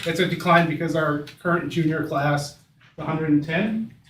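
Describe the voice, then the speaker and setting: Here a man is speaking. Room echo can be heard. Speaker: school administrator. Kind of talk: board meeting discussion. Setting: meeting room, far from the table. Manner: loud.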